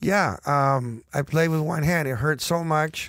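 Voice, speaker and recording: A man speaks with a normal speaking voice. His pitch is fairly high, with ordinary variation. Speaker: bandmate and musician. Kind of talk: casual chat telling stories.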